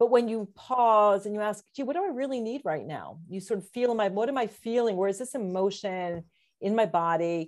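A woman in a normal speaking voice, fairly high-pitched and fairly quick, with ordinary pitch variation on a very clean recording with a silent background. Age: 50s. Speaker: psychologist and wellness coach. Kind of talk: casual interview.

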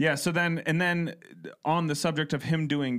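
A man with a fairly high pitch and an American accent, at a moderate pace, in a very clean recording with a silent background. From Ohio. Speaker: podcast co-host. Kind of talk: casual chat.

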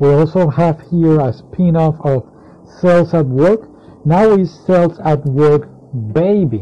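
Speaking very slowly, a man with a non-native accent uses a fairly high pitch and ordinary pitch variation. His loudness stays very even, and there is noticeable background noise. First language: not English. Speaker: anime magazine reviewer. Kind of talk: solo casual review. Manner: halting, many fillers.

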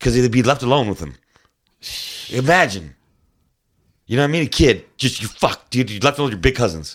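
Speaking at a fairly quick pace with an American accent, a man at medium pitch uses lively intonation and vocal fry, broken by long, frequent pauses. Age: 40s. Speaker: former musician and tournament angler. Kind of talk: casual chat. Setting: studio.

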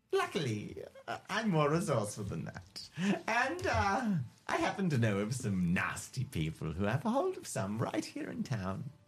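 A man's put-on character voice, theatrical and drawling, at medium pitch and a moderate pace. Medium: actual play. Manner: theatrical, drawling, calls people darling.

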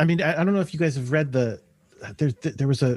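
Very fast and lively in intonation, the voice has a dark, mellow tone and is somewhat breathy, recorded dry and close with no echo. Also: man. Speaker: comic book editor. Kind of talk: casual chat.

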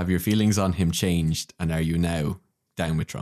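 A man with an Irish accent speaks at a moderate pace in a very deep, low voice. His intonation is fairly even, and the sound is dry and close with no echo. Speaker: podcast co-host. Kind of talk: casual chat. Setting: home recording room.

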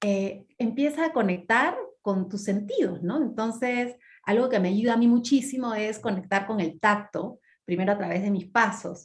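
Her pitch is fairly high and somewhat breathy, with ordinary pitch variation. The woman keeps a moderate pace. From Peru, Lima. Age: 40s. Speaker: mindfulness teacher and cook. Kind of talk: podcast interview.

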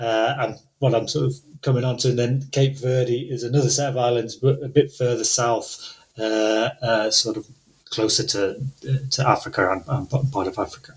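Somewhat breathy, the man's voice keeps a fairly even intonation. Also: medium pitch for a man, moderate pace. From northern England. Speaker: translator. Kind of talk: interview conversation with readings. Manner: hesitant, many filler words.

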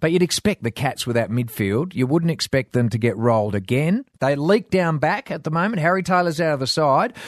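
In an Australian accent, a man speaks fairly quickly in a fairly high pitch with lively intonation, the sound dry and close with no echo over a quiet background. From Western Australia wheatbelt. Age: 50s. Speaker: former footballer, sports pundit. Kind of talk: casual chat.

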